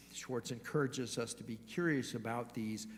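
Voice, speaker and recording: A man talks with ordinary pitch variation, and room echo is audible around him. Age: 60s. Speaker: church lay leader. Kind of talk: sermon.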